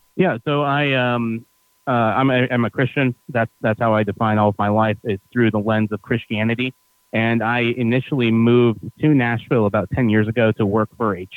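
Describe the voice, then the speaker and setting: A man with an American accent has a normal speaking voice and medium pitch. He talks at a moderate pace with fairly even intonation. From upstate New York. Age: 30s. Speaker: hospitality entrepreneur and tour guide. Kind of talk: casual interview.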